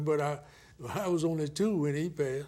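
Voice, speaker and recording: A man's fairly high voice with a Southern US accent, at a fairly quick pace. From US South, Florida (Martin County). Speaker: retired Air Force veteran. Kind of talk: oral history interview. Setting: filmed interview.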